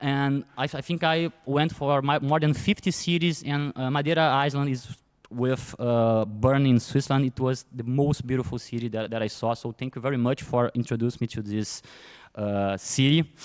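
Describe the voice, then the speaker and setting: A man with a Brazilian Portuguese accent and ordinary pitch variation. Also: medium pitch for a man, moderate pace. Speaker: event organizer. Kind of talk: award speech. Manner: halting.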